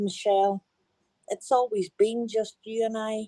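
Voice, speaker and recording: With a strong Northern Irish accent, a woman speaks in a dark, mellow tone and fairly even intonation, the sound dry and close with no echo. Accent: broad Northern Irish. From Northern Ireland. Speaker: caller. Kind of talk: testimony. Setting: group voice chat.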